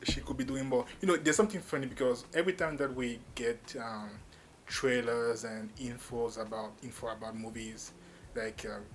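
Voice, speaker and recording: Over noticeable background noise, a man talks with ordinary pitch variation. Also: medium pitch for a man, moderate pace. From Cameroon. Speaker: YouTube movie reviewer. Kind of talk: casual video review. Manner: freestyle, impromptu with fillers.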